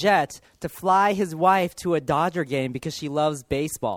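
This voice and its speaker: A man with a Californian accent, high-pitched, ordinary pitch variation and a moderate pace, in a very clean recording with a silent background and a dry, close sound with no echo. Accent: Californian American. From US, Los Angeles. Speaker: pastor. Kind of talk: sermon.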